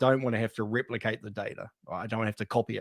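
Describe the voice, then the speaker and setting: In a New Zealand accent, a man speaks with a dry, close sound and no echo. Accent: New Zealand (Kiwi). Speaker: data architecture consultant. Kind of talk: panel discussion.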